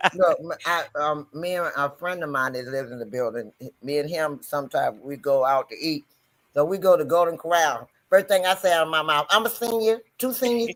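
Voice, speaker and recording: A man at a fairly high pitch, fairly quick and lively in intonation, on a very clean recording with a silent background. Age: 60s. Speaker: panel participant. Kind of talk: casual chat.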